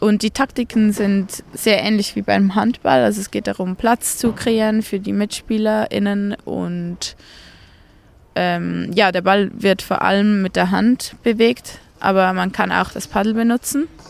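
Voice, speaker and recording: Her pitch is medium and her intonation fairly even. This woman speaks at a very slow pace. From Zurich, Switzerland. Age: 20s. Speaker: canoe polo athlete. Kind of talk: interview.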